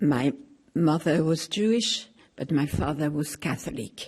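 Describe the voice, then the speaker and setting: A woman's somewhat breathy voice, fairly low in pitch and dark and mellow in tone, at a very slow pace. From France. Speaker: Holocaust survivor. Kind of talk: testimony.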